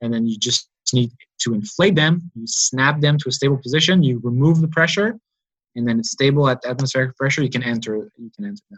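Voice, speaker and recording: Somewhat breathy, a man talks at a fairly quick pace with lively intonation in a dry, close sound with no echo. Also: medium pitch for a man. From Montreal, Quebec. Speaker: PhD student in engineering. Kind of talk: interview. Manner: halting.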